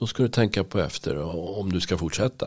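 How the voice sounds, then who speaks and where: A man's lively intonation and moderate speed come through on a very clean recording with a silent background. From Stockholm, Sweden (Bromma). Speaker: teaching assistant and church member. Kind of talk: interview. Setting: studio.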